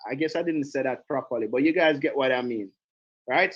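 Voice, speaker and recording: With a Jamaican accent, a man speaks at a very fast pace in an animated tone with ordinary pitch variation. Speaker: direct sales trainer. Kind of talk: online training call.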